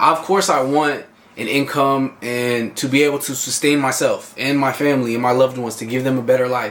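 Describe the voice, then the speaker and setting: There is noticeable background noise. A man speaks in an animated tone at a moderate pace. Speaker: vlogger and fitness coach. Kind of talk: casual motivational vlog monologue. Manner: loud, animated.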